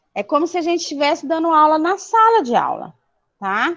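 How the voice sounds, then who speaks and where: The woman in this clip speaks at a fairly slow pace. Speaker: school teacher. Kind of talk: online class. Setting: live video class.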